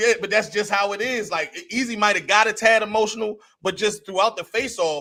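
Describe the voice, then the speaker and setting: A man's raised, projected voice, high in pitch with a bright, sharp tone, at a very fast pace with fairly even intonation. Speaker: battle rap podcast co-host. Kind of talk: casual chat. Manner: loud.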